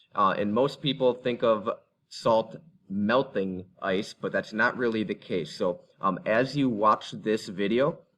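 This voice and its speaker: A normal speaking voice moves at a fairly slow pace with ordinary pitch variation over a quiet background. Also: man, medium pitch for a man. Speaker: middle school teacher. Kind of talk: recorded class instructions.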